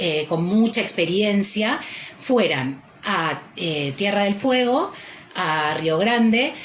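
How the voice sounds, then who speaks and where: Very wide pitch swings come at a very slow pace, with audible room echo and noticeable background noise. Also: woman. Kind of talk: live stream talk. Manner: frequent hesitations.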